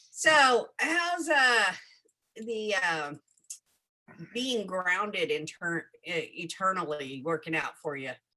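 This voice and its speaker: A woman's bright, sharp voice in a Southern US accent, very slow with long, frequent pauses and very wide pitch swings. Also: medium pitch for a woman. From US South. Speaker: live stream host. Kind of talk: casual chat. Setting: live stream.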